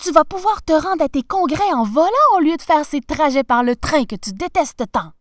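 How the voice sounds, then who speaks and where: A woman's put-on character voice, high in pitch, at a moderate pace, with a dry, close sound and no echo. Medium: read story. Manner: warm, lively.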